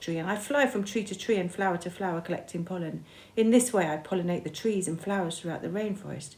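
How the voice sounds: The voice reads naturally, with pitch that varies in an ordinary way.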